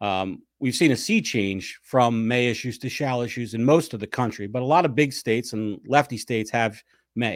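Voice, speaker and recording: At a moderate pace, a man with an American accent uses a normal speaking voice at a medium pitch with ordinary pitch variation, on a very clean recording with a silent background. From US Northeast, South Jersey near Philadelphia. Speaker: lawyer and political writer. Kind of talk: casual interview.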